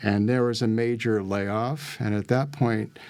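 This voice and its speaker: With an unremarkable speaking voice, a man speaks at a fairly low pitch and with fairly even intonation in a very clean recording with a silent background. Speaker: life and business coach. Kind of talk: interview.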